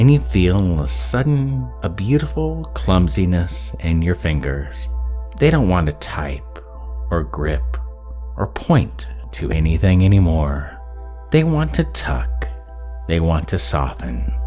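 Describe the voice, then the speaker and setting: A man's very deep, low voice, soothing in tone, at a very slow pace over background music. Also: ordinary pitch variation. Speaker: ASMR hypnosis roleplay creator. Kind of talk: hypnosis induction roleplay. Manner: slow, soothing.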